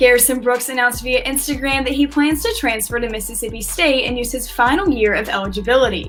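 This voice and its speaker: Music plays behind a woman speaking at a high pitch. She talks at a very fast pace with hardly any pauses. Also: ordinary pitch variation. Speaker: student sports reporter. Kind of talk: sports news anchor read.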